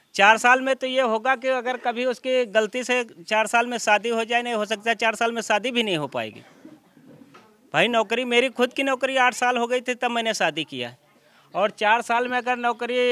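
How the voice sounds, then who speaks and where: A man with an extremely high pitch uses a raised, projected voice at a moderate pace with fairly even intonation, in a dry sound with no echo. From village near Lucknow, Uttar Pradesh. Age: old. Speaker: retired villager; interviewee. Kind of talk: interview. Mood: critical of government policies. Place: street.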